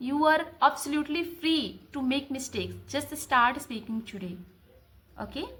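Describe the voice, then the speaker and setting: A woman speaks at a moderate pace in a high pitch, her pitch variation ordinary and her loudness swinging widely. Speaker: English learner vlogger. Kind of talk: tutorial. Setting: home recording to camera.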